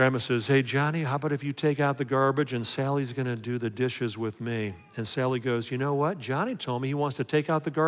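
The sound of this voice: An unforced reading voice carries the whole clip.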